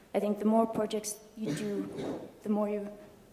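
A woman's medium-pitched voice at a moderate pace, with fairly even intonation, light background noise and audible room echo. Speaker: physics institution staff; conference speaker. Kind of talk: talk; lecture. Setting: stage with audience. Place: hall.

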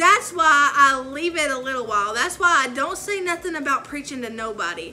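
Bright, sharp tone, lively intonation and a moderate pace over faint background noise. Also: woman.

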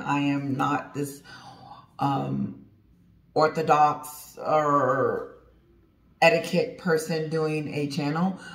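A woman speaks against a quiet background. Her pitch is very deep and low, with vocal fry. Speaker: channel host. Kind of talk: casual vlog chat. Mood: relaxed, laughing. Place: home room. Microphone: phone near.

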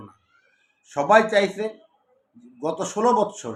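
Lively intonation runs through this man's speech. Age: 50s. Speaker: political commentator, lawyer. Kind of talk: political commentary monologue. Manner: halting, with frequent pauses and self-corrections.

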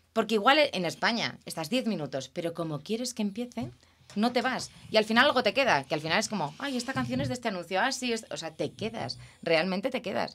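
A woman speaks at a fairly quick pace with a Castilian accent. Her pitch swings very widely, and vocal fry is present. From Spain. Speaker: television producer; guest. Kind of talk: interview. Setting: studio. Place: studio. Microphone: studio mic.

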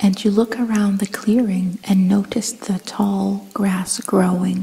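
A soft-spoken woman at a medium pitch, very slow in pace with fairly even intonation, over noticeable background noise. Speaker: ASMR guided meditation host. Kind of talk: guided meditation / sleep hypnosis narration. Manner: soft-spoken, slow, calming.

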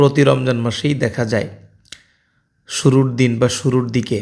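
This man has a dark, mellow tone and fairly even intonation. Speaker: vlogger. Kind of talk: casual vlog talk with religious advice.

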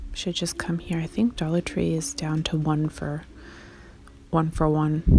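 The speech moves at a moderate pace. The sound is dry with no echo, and there is light background noise. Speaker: shopping vlogger. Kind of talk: casual vlog chat. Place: shop. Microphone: phone near.

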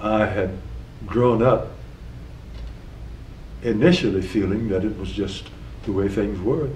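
A man talks fairly slowly at a fairly low pitch, with ordinary pitch variation and long, frequent pauses. There is audible room echo and light background noise. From South Carolina, USA. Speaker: retired federal judge, war veteran. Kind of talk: oral history interview answer. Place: office.

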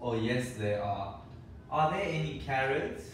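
Audible room echo surrounds a man as he talks.

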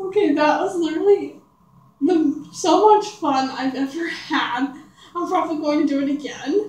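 A woman's high voice at a moderate pace, with ordinary pitch variation and audible room echo. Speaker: vlogger. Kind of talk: casual talk to camera. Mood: giggly, playful. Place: home room.

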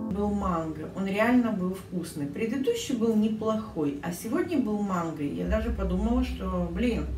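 Clear music plays behind a woman amid audible room echo. She talks at a fairly slow pace with hardly any pauses. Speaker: permanent makeup artist. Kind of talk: casual vlog talk to camera. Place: kitchen. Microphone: phone near.

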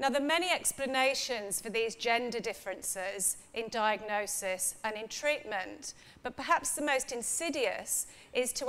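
With an unremarkable speaking voice, a woman talks at a moderate pace in a fairly high pitch with ordinary pitch variation. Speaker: professor of women's health psychology. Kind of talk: academic lecture. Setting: stage with audience. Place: hall. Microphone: podium.

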